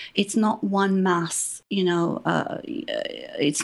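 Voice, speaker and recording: Vocal fry runs through a woman's voice. She speaks fairly slowly, with fairly even intonation. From Iran, left as child in 1980. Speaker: political activist. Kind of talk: interview debate. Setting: Skype call.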